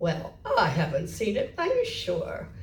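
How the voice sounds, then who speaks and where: The speaker uses a put-on character voice at a fairly slow pace. Clear background noise is present. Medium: read story. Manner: haughty, huffy.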